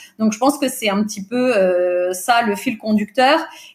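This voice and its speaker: Speaking at a fairly slow pace, a woman has a fairly high pitch and ordinary pitch variation. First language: Portuguese (speaking French). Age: 40s. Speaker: recruiter and business owner. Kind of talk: podcast interview. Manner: hesitant, many fillers.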